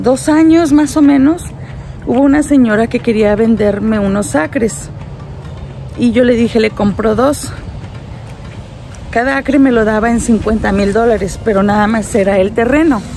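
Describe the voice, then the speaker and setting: A woman talks at a fairly slow pace with long, frequent pauses and very even loudness. Her pitch varies in an ordinary way, the sound is dry with no echo, and there is light background noise. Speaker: family vlogger. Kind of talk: casual vlog chat. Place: garden. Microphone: phone near.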